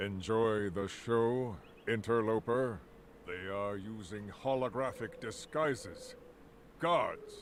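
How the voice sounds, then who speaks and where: A man's put-on character voice at a fairly slow pace, with clear background noise. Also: medium pitch for a man. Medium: video game. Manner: smooth, self-assured.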